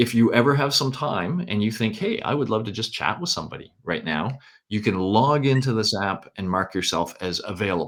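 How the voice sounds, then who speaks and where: In a very clean recording with a silent background, a man with a Canadian accent uses an ordinary speaking voice, lively intonation and a moderate pace. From Canada. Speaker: university lecturer. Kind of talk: lecture. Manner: casual, with many fillers.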